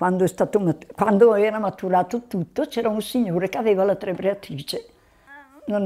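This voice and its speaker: The woman's voice has a dark, mellow tone at medium pitch. She talks at a moderate pace with ordinary pitch variation. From Val di Scalve, northern Italy; northern Italy. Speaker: elderly villager. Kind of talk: reminiscing interview. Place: home room. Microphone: lapel.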